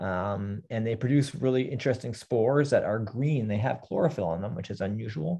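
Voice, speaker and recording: Against a quiet background, a man talks at a fairly quick pace, his somewhat breathy voice dark and mellow in tone with ordinary pitch variation. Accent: Canadian. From Southern Ontario, Canada. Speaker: botany lecturer. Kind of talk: lecture. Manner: halting, many fillers. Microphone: webcam.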